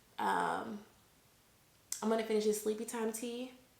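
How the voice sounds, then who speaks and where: A woman's fairly high voice amid noticeable background noise and audible room echo. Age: 20s. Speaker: vlogger. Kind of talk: casual chat. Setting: home recording to camera.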